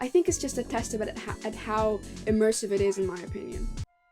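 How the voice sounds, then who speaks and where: Fairly high-pitched woman, enthusiastic tone and fairly quick pace, with music in the background. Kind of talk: video essay narration.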